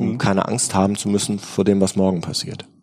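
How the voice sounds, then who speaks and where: A man with an ordinary speaking voice and a fairly low pitch talks at a fairly quick pace. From Germany, Bergisches Land (Remscheid). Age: 40s. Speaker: state politician and lawyer. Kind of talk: interview.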